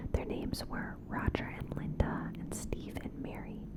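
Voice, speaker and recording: A woman whispers at a fairly slow pace as noticeable background noise runs beneath her. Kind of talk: ASMR cryptid storytelling. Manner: whispered; soft-spoken.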